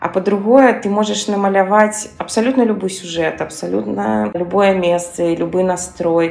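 There is music in the background. A woman speaks at a fairly low pitch. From Belarus, Minsk. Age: 40s. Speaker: gestalt therapist. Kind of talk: recorded monologue.

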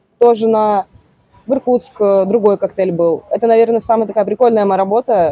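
A woman's fairly high voice at a very fast pace, with ordinary pitch variation and a dry, close sound with no echo. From Siberia, Russia (Tomsk region). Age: 20s. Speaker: bartender. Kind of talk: casual interview. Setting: bar expo venue.

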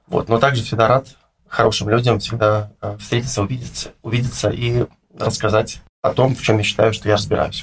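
A man talks at a fairly quick pace with long, frequent pauses, his medium-pitched voice somewhat breathy and his intonation monotone and flat. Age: 30s. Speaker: finance consultant. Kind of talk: interview.

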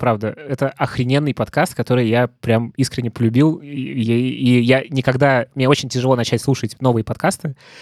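Here is a man with an unremarkable speaking voice, medium in pitch and fairly even in intonation. He keeps a moderate pace with hardly any pauses, on a very clean recording with a silent background and a dry, close sound with no echo. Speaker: podcast host. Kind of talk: casual interview.

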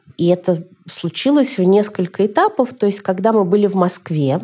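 A woman talks at a moderate pace while noticeable background noise fills the recording. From Moscow, Russia. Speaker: journalist and blogger. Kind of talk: interview.

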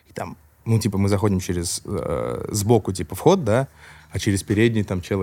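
A man speaks at a moderate pace and a fairly low pitch, his tone dark and mellow. His pitch variation is ordinary. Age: 20s. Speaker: rapper and confectionery business owner. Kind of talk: casual chat.

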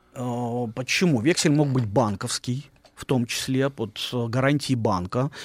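Here is a man with an unremarkable speaking voice. He has a medium pitch, ordinary pitch variation and a fairly slow pace. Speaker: historian. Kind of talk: storytelling on radio. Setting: studio.

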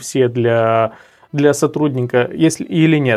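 The pace is very slow. A man speaks, his pitch moving in an ordinary way. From Moldova, Cahul. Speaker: sales trainer. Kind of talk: interview.

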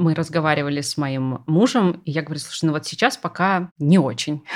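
A woman talks with a very deep, low pitch. Her pitch variation is ordinary. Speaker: art historian and lecturer. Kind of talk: casual chat.

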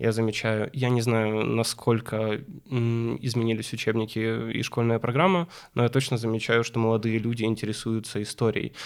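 A man uses a plain, everyday voice at medium pitch, keeping a moderate pace and fairly even intonation. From Ukraine, Kyiv. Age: 20s. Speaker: young professional guest. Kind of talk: podcast interview.

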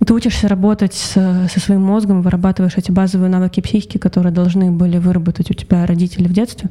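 The woman's pitch is medium and her intonation monotone and flat. She speaks at a very fast pace. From Russia, Saint Petersburg. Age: 20s. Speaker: voice actress. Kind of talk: interview.

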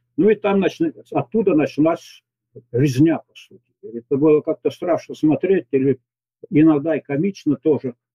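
A man speaks with a fairly high pitch. His pitch varies an ordinary amount at a moderate pace. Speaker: retired military commander, expert. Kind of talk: recorded interview answering questions. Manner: halting, with stumbles.

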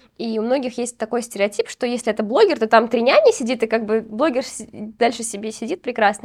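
Speaking at a fairly quick pace, a woman uses a plain, everyday voice. Her pitch is fairly high, with ordinary pitch variation. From Uzbekistan. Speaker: podcast host, postnatal fitness trainer. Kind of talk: casual interview chat.

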